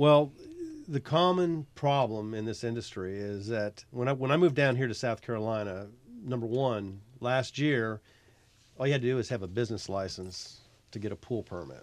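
A man with a normal speaking voice talks at a moderate pace in an American accent, over a quiet background. His pitch is medium, with ordinary pitch variation. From Virginia, military family moving across US states. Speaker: pool builder. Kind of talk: casual radio interview. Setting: radio studio.

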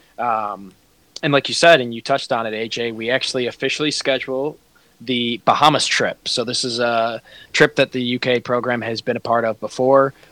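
A man's bright, sharp tone comes through dry and close with no echo. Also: medium pitch for a man, moderate pace. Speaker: sports podcast co-host. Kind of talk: casual sports chat. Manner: enthusiastic.

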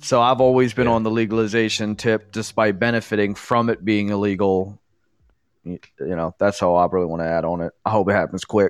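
A man's plain, everyday voice, fairly low in pitch and fairly quick, with fairly even intonation, a dry, close sound with no echo and a quiet background. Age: 30s. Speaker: podcast co-host. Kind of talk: casual chat.

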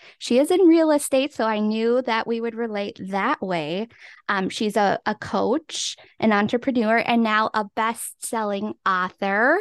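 An ordinary speaking voice from a woman with an American accent, fairly high in pitch with ordinary variation, at a fairly slow pace, in dry, close sound with no echo and a quiet background. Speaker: podcast co-host and realtor. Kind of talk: casual interview.

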